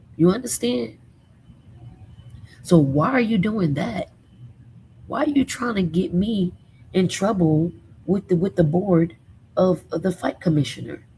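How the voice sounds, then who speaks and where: Over background music, a woman with an American accent speaks in an animated tone at a fairly slow pace, with very wide pitch swings and long, frequent pauses. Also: medium pitch for a woman. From New Jersey. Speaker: celebrity gossip show host. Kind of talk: casual commentary reacting to video. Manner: stutter.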